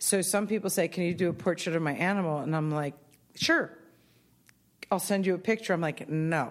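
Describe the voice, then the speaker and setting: Fairly low in pitch, a woman talks at a fairly quick pace with ordinary pitch variation in a plain, everyday voice, on a very clean recording with a silent background. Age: 50s. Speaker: artist. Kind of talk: interview. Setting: studio.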